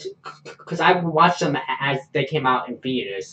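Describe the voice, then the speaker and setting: With a plain, everyday voice, a man speaks in a fairly high pitch at a moderate pace. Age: 20s. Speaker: podcast host. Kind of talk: casual chat.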